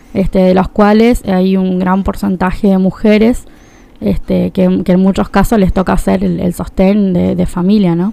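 In a dark, mellow tone, a woman speaks at a fairly slow pace and medium pitch, her loudness very even and her intonation flat and monotone. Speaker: political activist. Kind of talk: radio interview.

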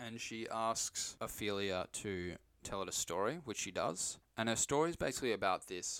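A man talks at a moderate pace in a very clean recording where the background is silent. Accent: Australian. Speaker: film podcast host. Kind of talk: casual chat. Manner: animated.

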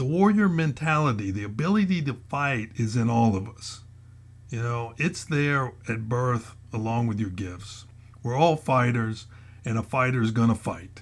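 This man's somewhat breathy voice moves at a fairly slow pace with lively intonation. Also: medium pitch for a man. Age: 60s. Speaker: retired federal agent turned motivational blogger. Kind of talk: motivational podcast monologue. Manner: hesitant with frequent fillers.

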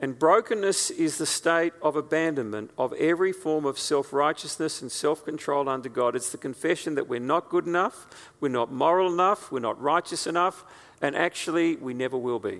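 At a fairly quick pace, a man speaks in a normal speaking voice, fairly high in pitch, with ordinary pitch variation. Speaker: preacher. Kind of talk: sermon. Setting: church.

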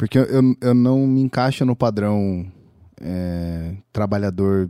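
A man speaks in a normal speaking voice at a fairly low pitch. The recording is very clean with a silent background. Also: dry, close sound with no echo. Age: 20s. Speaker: creative working with audio. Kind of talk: casual interview chat.

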